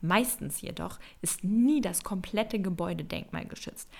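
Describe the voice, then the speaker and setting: This is a woman with an ordinary speaking voice. Her pace is moderate and her pitch varies in an ordinary way. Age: 20s. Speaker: podcast host, interior designer. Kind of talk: solo podcast monologue.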